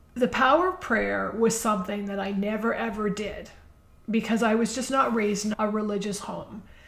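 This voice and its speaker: Noticeable background noise runs under a woman's voice. She speaks at a moderate pace, fairly high in pitch with ordinary pitch variation. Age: 60s. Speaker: podcast host. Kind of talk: inspirational monologue. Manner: conversational.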